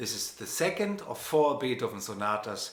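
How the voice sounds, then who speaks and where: A man with a German accent speaks in a relaxed tone. Audible room echo and noticeable background noise surround his voice. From Germany, Hanover. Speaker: pianist and music professor. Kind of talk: lecture. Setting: live stream. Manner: relaxed conversational with hesitations.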